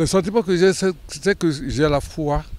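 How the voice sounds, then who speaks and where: A man at a very slow pace, with lively intonation. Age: 70s. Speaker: pilgrim. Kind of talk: testimony. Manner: halting.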